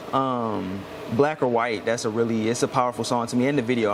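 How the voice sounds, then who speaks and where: Noticeable background noise sits under a man's medium-pitched voice. He talks at a fairly quick pace with fairly even intonation. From Houston area, Texas. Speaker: alternative hip-hop rock artist. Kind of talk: interview. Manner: casual, filler-heavy.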